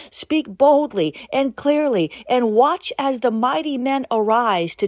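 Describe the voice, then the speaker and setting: In a dry, close recording with a quiet background and no echo, a woman uses a normal speaking voice with lively intonation at a fairly slow pace. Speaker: prayer podcast host and preacher. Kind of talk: fervent prophetic prayer, delivered as a commanding declaration in God's voice. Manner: intense, urgent, solemn and commanding.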